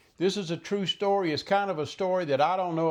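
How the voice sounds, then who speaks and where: A man speaks in a Southern US accent. The background is quiet. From US South, Mississippi Gulf Coast. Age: 70s. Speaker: vlogger. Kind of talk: personal monologue. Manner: halting; unscripted.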